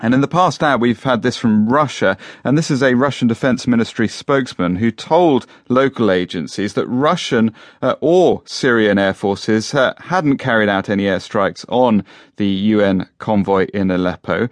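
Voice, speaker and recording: Over a quiet background, a man with a plain, everyday voice talks at a moderate pace and medium pitch, his loudness very even, his intonation lively, and the sound dry and close with no echo. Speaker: radio news presenter. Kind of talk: formal newsreading. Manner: formal, measured broadcast delivery; brisk, clear, relaying statements.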